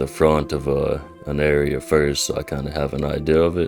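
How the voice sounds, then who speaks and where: With music in the background, a man speaks in a calm, relaxed tone at a moderate pace and a very deep, low pitch. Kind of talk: gameplay commentary.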